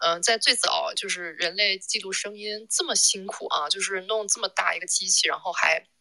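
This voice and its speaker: A woman speaking at a moderate pace. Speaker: record shop owner. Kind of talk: casual chat. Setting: live audio chat room.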